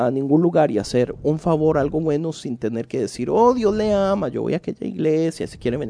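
With a Costa Rican accent, a man talks at a fairly quick pace in a fairly high-pitched voice that has a dark, mellow tone and lively intonation. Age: 30s. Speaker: podcast co-host. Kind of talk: casual chat.

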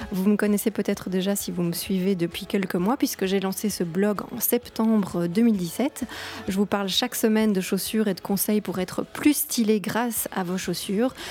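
A woman's medium-pitched voice at a moderate pace, fairly even in intonation, over noticeable background noise. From Belgium. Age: 30s. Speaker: podcast host and blogger. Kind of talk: solo podcast monologue. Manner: hesitant, with fillers and repetitions.

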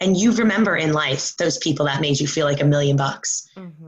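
A woman's fairly low-pitched, an ordinary speaking voice, at a moderate pace with ordinary pitch variation. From New York. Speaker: fitness coach. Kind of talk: interview.

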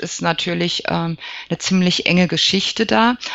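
A woman's fairly low-pitched voice. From Germany, Lower Franconia (Aschaffenburg). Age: 40s. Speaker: psychologist and alternative practitioner. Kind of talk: interview. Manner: hesitant, frequent fillers.

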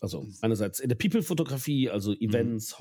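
Recorded very cleanly against a silent background, a man with a medium pitch and a dark, mellow tone speaks at a moderate pace with lively intonation. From Germany, Ahr valley (Rhineland-Palatinate). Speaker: LARP photographer. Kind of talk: casual chat. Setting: at a table with drinks, in person.

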